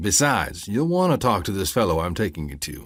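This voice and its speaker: A man does a put-on character voice in an Appalachian accent, rumbling at a moderate pace. The recording is very clean, with a silent background. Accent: Appalachian mountain dialect. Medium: read story. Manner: folksy, calmly threatening.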